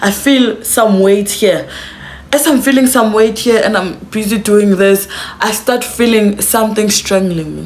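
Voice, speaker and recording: An animated woman at a fairly slow pace, with noticeable background noise. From South Africa. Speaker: YouTuber. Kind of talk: storytime to camera. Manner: casual, animated.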